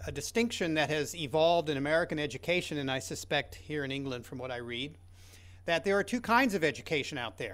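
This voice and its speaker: Heard on a very clean recording with a silent background, a man speaks at a fairly high pitch with lively intonation. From Kentucky, US. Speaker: education researcher. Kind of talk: conference talk. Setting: conference session with audience.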